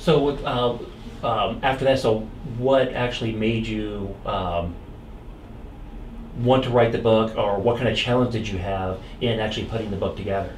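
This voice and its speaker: A man talks at a moderate pace and medium pitch, his intonation fairly even. He leaves long, frequent pauses, and background noise is noticeable. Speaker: community interview host. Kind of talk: interview questions.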